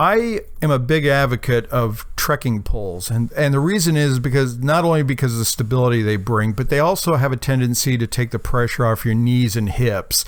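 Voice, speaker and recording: A man with a plain, everyday voice speaks at a medium pitch and a fairly quick pace. He keeps very even loudness and hardly any pauses. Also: ordinary pitch variation. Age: 60s. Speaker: amateur radio hiker. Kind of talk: video recap of hike and radio activation. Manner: casual, with frequent fillers.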